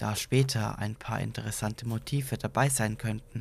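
A man's fairly low, vocal-fried voice with fairly even intonation. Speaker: podcast narrator. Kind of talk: horror story narration, read aloud as a creepypasta.

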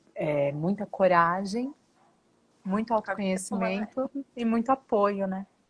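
The voice is somewhat breathy and moves at a fairly slow pace. The sound is dry and close, with no echo. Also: woman, medium pitch for a woman, ordinary pitch variation. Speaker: podcast co-host. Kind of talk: casual interview.

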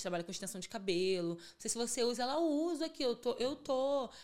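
Lively intonation colors a woman's normal speaking voice as she talks at a moderate pace. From Rio de Janeiro suburbs (Bangu). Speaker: hair extension entrepreneur. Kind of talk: casual chat.

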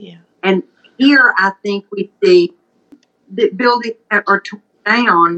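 A woman with a Mississippi accent speaks at a medium pitch, her pitch varying in an ordinary way. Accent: Mississippi Southern. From US South, Mississippi Delta. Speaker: pharmacist. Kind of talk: casual chat.

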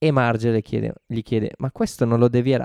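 A man talks at a fairly slow pace in a medium pitch. The sound is dry and close with no echo, against a quiet background. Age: 30s. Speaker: podcast co-host. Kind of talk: casual chat about a TV show.

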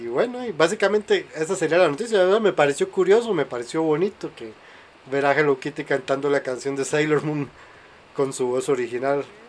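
Lively intonation colors a man's voice pitched fairly high. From Costa Rica. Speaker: podcast host. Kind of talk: casual chat. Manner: animated.

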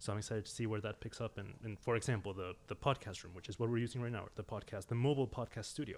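A man at medium pitch, very fast pace, fairly even intonation and hardly any pauses. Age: 20s. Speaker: arts organization staff member. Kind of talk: casual chat. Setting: studio.

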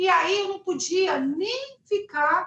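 Here a woman speaks with ordinary pitch variation. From Rio de Janeiro, Brazil. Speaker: singer. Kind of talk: interview. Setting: live stream.

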